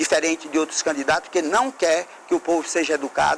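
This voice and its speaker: A high-pitched man at a moderate pace, with noticeable background noise. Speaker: mayoral candidate. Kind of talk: political debate statement. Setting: TV studio.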